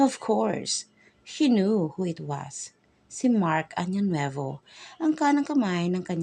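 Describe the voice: The voice is plain reading aloud. It moves through the text as plain reading aloud.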